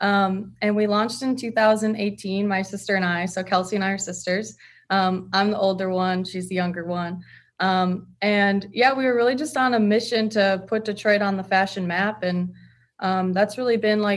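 The woman's intonation holds fairly even. She talks at medium pitch and a moderate pace. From Michigan, US Midwest. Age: 20s. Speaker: fashion brand co-founder. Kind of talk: casual interview.

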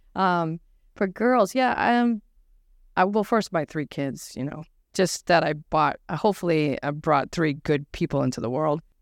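In a New England accent, a woman speaks with a fairly low pitch and lively intonation. The sound is dry and close, with no echo. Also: moderate pace. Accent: New England American. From New Hampshire, US. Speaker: lecturer and social enterprise activist. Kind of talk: live panel interview. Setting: stage with audience.

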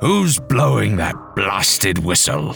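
A man's put-on character voice, growling and very deep, with very wide pitch swings, a fairly slow pace and clear music in the background. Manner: furious, bellowing.

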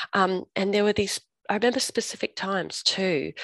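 Someone with an Australian accent speaks at a moderate pace in a dry, close sound with no echo. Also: woman. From Australia, Perth. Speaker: recovered drinker and sobriety coach. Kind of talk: testimony. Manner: halting, many fillers.

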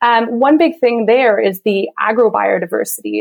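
A woman with an unremarkable speaking voice talks at a fairly high pitch. Her pace is moderate and her pitch variation ordinary. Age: 30s. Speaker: sustainable food systems consultant. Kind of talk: interview.

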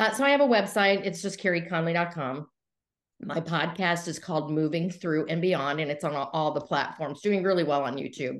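A woman with a fairly low pitch speaks at a fairly quick pace and with lively intonation, in an unremarkable speaking voice over a quiet background. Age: 60s. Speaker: entrepreneur coach. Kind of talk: interview.

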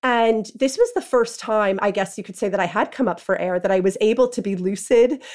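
A New York accent at a fairly quick pace with ordinary pitch variation and hardly any pauses, on a very clean recording over a silent background. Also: woman, fairly high pitch for a woman. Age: 30s. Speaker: freelance writer. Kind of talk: interview testimony.

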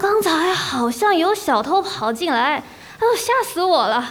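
Faint background noise sits behind a woman's put-on character voice, pitched extremely high with big pitch swings, a fairly bright tone and a fairly slow pace.

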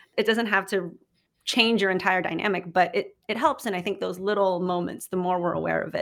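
The voice has an American accent and a fairly quick pace. Its intonation is fairly even. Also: woman. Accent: American-sounding English. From Philippines. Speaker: journalist and podcast host. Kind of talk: interview conversation.

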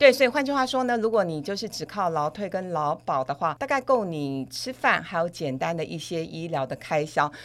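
A woman's fairly low pitch with very wide pitch swings and hardly any pauses. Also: moderate pace. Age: 50s. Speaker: financial expert. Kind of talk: podcast interview.

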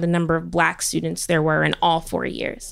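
An ordinary speaking voice, a woman's at a fairly low pitch and moderate pace. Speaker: biochemistry PhD student. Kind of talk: live storytelling. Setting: stage with audience.

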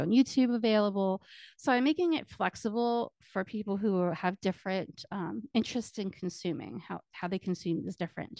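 A normal speaking voice at a fairly quick pace, with ordinary pitch variation, a dry, close sound with no echo and a quiet background. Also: woman. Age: 40s. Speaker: podcast host and community strategist. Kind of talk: solo podcast monologue, partly reading book excerpts. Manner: casual with filler words.

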